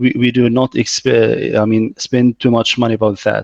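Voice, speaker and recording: The sound is dry and close, with no echo. A man speaks in a medium pitch. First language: Arabic. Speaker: reservoir engineer giving a lecture. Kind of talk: Q&A answer in an online lecture. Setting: video call.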